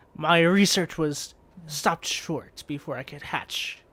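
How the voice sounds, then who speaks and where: A man speaks in a put-on character voice at a fairly slow pace. His pitch is fairly high, on a very clean recording with a silent background. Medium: actual play.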